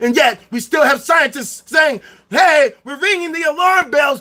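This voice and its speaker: Shouting at an extremely high pitch, a man with an American accent is heard over noticeable background noise. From Chicago South Side, US. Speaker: livestreamer. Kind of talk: livestream rant. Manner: loud; animated.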